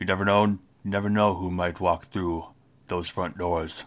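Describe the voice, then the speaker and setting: A man speaks in a put-on character voice. It is very deep and low, at a moderate pace. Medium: actual play. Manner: curt, few words, blunt.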